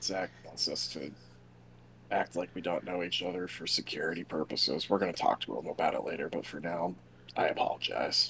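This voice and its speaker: A raspy, put-on character voice moves at a fairly quick pace over clear background noise. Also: man, very deep, low pitch for a man. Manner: under his breath, low.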